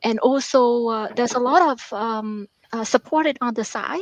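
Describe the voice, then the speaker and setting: Recorded dry and close with no echo, a woman with a Vietnamese accent speaks at a fairly slow pace and fairly high pitch. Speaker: author and math professor. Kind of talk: interview. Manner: halting.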